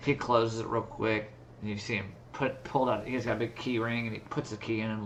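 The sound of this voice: Just an unforced reading voice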